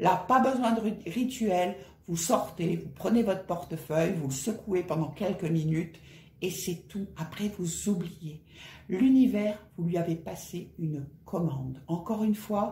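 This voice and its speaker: Audible room echo accompanies a woman speaking at a medium pitch and a fairly slow pace. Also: ordinary pitch variation. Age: 50s. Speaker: personal finance vlogger. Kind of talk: casual vlog tutorial. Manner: conversational.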